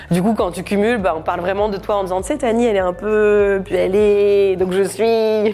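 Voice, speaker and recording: The voice is a normal speaking voice with fairly even intonation. It moves at a moderate pace with hardly any pauses. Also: woman, medium pitch for a woman. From France, Normandy. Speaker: comedian. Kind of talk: personal testimony interview. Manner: casual, laughing often.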